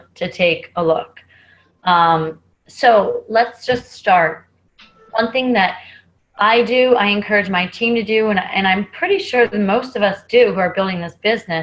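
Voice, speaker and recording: A woman talks at a fairly slow pace with ordinary pitch variation. It is a normal speaking voice. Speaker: network marketing team member. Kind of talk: team training call. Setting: video call.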